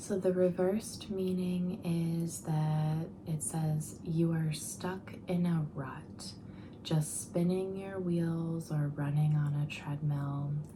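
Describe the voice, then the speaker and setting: The speaker is soft-spoken and talks at a very slow pace. Background noise is noticeable. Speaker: ASMR tarot reader. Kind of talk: soft-spoken ASMR tarot reading to camera.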